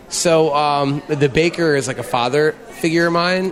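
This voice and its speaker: A man speaks with an American accent at a fairly high pitch. Noticeable background noise is present. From Philadelphia, US. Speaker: bar owner. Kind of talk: casual chat interview. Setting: in a bar.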